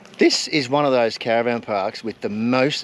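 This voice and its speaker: Noticeable noise sits behind a man speaking with an Australian accent. His medium pitch varies in an ordinary way, at a moderate pace. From rural Australia. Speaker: travel vlogger. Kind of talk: casual chat. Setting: outdoors.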